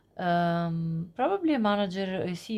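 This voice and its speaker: A woman with a non-native accent, fairly even intonation and a dark, mellow tone. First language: not English. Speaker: tarot reader. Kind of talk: tarot reading monologue. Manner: halting, many fillers.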